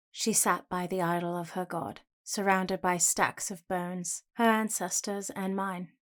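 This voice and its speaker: In a British accent, a woman speaks at a fairly slow pace and medium pitch with fairly even intonation, the recording very clean against a silent background. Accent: general British. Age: young. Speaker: voice actor. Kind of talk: audiobook narration, first person fantasy.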